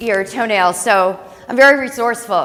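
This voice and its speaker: A woman talks with lively intonation. Her pitch sits fairly high. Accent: American. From St. Louis, Missouri, US Midwest. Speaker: startup founder. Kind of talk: business pitch presentation. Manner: loud.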